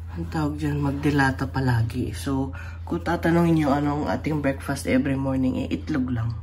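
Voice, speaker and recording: At a moderate pace, a woman with a very deep, low pitch makes very wide pitch swings, with audible room echo and noticeable background noise. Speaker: vlogger. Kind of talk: casual vlog, grocery haul. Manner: casual, unscripted.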